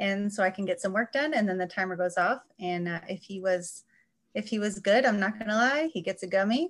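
A woman speaks in a normal speaking voice with an American accent. Her pitch is medium, her pitch variation ordinary and her pace fairly quick. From US Midwest, Chicago suburbs. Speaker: journal editor. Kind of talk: casual chat. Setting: video call.

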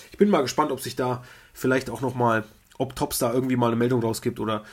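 A man's medium-pitched voice with fairly even intonation, in a very clean recording with a silent background. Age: 30s. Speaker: podcast co-host, trading card collector. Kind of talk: casual chat.

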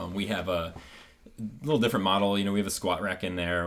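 A man speaks with a Midwestern American accent. His intonation stays fairly even. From US Midwest (rural Ohio). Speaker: chiropractor. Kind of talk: casual interview.

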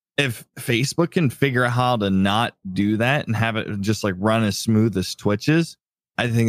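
Recorded very cleanly against a silent background, with a dry, close sound and no echo, a man speaks at medium pitch and a moderate pace with ordinary pitch variation. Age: 30s. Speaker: gaming podcast co-host. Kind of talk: casual chat.

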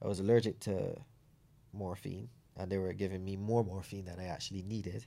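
The tone is dark and mellow, with fairly even intonation at a fairly quick pace. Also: man, fairly low pitch for a man. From Barbados, Saint John. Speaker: para bobsleigh athlete and ex-soldier. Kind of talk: interview.

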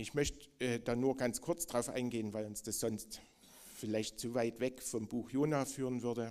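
A man speaks at a moderate pace with medium pitch and fairly even intonation. He has an ordinary speaking voice. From East Germany. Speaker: preacher. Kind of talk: sermon.

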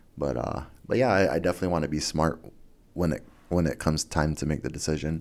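This man talks very fast in a very deep, low voice with vocal fry. His pitch varies in an ordinary way, and the recording is very clean with a silent background. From Guam. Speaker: MMA fighter. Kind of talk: casual interview. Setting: studio.

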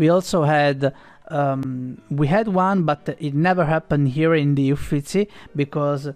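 In an Italian accent, a man with a fairly high pitch speaks at a fairly slow pace with very even loudness and ordinary pitch variation, in a dry, close sound with no echo. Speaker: podcast host. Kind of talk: interview.

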